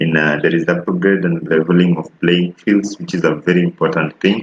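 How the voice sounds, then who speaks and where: Very deep and low, the man's voice stays in a monotone, flat intonation. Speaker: civic educator. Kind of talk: explainer talk. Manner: halting.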